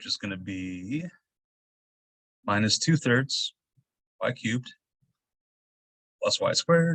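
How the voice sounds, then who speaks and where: In a dry, close sound with no echo, a man speaks at a very slow pace with long, frequent pauses and big swings in loudness. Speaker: math instructor. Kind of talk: lecture. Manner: halting.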